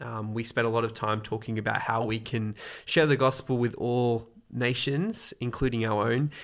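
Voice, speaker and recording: On a very clean recording with a silent background, a man in an Australian accent speaks at a medium pitch with ordinary pitch variation. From Sydney, Australia. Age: 20s. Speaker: wedding photographer and church volunteer. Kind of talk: interview conversation.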